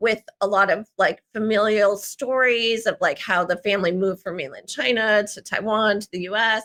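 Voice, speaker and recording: A woman speaks at a fairly high pitch with a New Jersey accent, her tone bright and sharp. Her pace is moderate and her pitch varies in an ordinary way. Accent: American, New Jersey. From US Northeast, Central New Jersey. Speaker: memoir writer. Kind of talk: interview. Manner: halting, many fillers.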